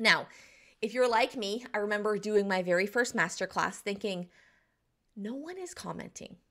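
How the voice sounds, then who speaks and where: A woman's fairly high, bright, sharp voice with an American accent, ordinary pitch variation, big swings in loudness, a moderate pace, and long, frequent pauses. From US South, southeastern North Carolina. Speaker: business coach. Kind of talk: tutorial.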